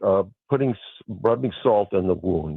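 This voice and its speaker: With an American accent, this man's voice makes very wide pitch swings. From New York City (Brooklyn). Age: 60s. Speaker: caller. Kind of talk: call-in radio chat. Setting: phone call.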